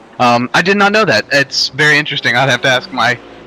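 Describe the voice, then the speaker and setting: With an American accent, a man speaks at a fairly quick pace with ordinary pitch variation, sounding dry and close with no echo against noticeable background noise. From North Carolina, US. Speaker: sim racing streamer. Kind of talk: casual chat during sim race stream. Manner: hesitant with many fillers.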